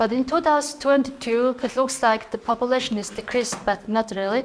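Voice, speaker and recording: Speaking at a moderate pace with fairly even intonation, a woman talks in a Mongolian accent. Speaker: PhD student researcher. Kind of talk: conference talk.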